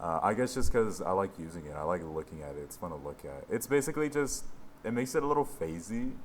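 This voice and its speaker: Speaking at a very fast pace, a man uses a fairly low pitch with very wide pitch swings. His loudness swings widely too. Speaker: music producer / mixing engineer. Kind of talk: tutorial. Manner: casual. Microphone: old headset mic, poor quality.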